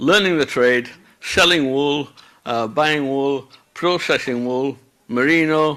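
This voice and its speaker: A man speaks with a Yorkshire accent in a bright, sharp tone at a fairly slow pace. His pitch is fairly high, with ordinary pitch variation. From Yorkshire, northern England (Bradford). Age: 60s. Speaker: wool processor, conference speaker. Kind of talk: conference talk. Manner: conversational, with many filler sounds.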